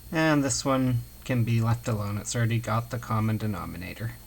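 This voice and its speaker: Recorded with audible room echo, a man speaks at a moderate pace in a medium-pitched, somewhat breathy voice. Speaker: math instructor. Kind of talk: lecture.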